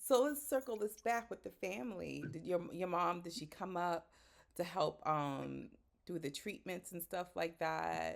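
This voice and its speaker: With lively intonation and vocal fry, a woman talks fairly slowly at a fairly low pitch. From Boston, Haitian American. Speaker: podcast host. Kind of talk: casual chat.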